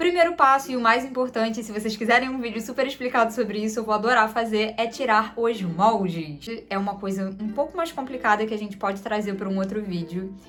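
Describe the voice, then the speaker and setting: Speech at a fairly quick pace with hardly any pauses and ordinary pitch variation comes through over noticeable background noise. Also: woman, fairly high pitch for a woman. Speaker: fashion designer and seamstress, content creator. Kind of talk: sewing tutorial. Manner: fast; animated.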